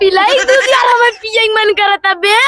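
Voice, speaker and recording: Putting on a character voice at an extremely high pitch, a woman speaks at a moderate pace over loud background noise. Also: fairly even intonation. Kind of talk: rustic comic overacting. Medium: comedy sketch. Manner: confused, mishearing.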